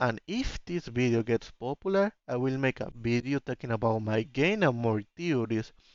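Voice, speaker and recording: A man with a non-native accent talks at medium pitch with lively intonation. He speaks with hardly any pauses. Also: moderate pace. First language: not English. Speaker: indie game developer and YouTuber. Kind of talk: theory video narration; casual outro to viewers. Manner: reading from script; hesitant.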